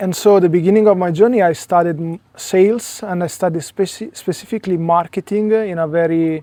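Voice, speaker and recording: A man with an Italian accent, high in pitch yet dark and mellow in tone, fairly quick with hardly any pauses and fairly even intonation. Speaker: spiritual coach. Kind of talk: interview conversation. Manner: hesitant, many fillers.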